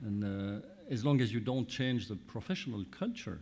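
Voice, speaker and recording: The pace here is moderate. A man speaks with ordinary pitch variation. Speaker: law professor, panel moderator. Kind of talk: panel moderation. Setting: stage with audience. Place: hall. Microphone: podium.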